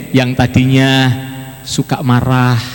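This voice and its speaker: Noticeable background noise sits behind a man's voice. He speaks at a medium pitch and a fairly slow pace. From Java, Indonesia (Magelang). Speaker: preacher. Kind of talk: sermon. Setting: church.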